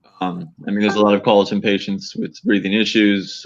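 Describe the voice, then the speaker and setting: This man has an ordinary speaking voice with a fairly low pitch. He speaks at a fairly quick pace with an American accent. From Harlingen, Texas. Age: 30s. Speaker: author and firefighter-paramedic. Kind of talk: interview.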